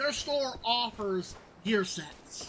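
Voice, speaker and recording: A woman with a fairly high pitch and very wide pitch swings talks amid noticeable background noise and audible room echo. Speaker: gaming YouTuber. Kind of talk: game commentary. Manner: halting, repeats words.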